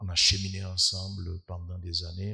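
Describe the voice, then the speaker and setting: Soft-spoken and very slow, a man talks with a very deep, low pitch, a bright, sharp tone and monotone, flat intonation. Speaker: guest preacher, scientist. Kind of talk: sermon. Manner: hesitant, many filler sounds.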